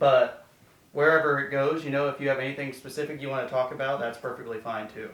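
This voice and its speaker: Speaking at a very fast pace, a man keeps a fairly high pitch in monotone, flat intonation. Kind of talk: casual interview questions. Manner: casual, hesitant.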